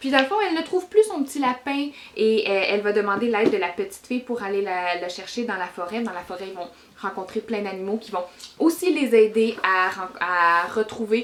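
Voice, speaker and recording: A woman's fairly high voice with a Quebec accent, lively intonation and a moderate pace, over noticeable background noise. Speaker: book reviewer. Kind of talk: casual book review vlog. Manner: hesitant, many fillers.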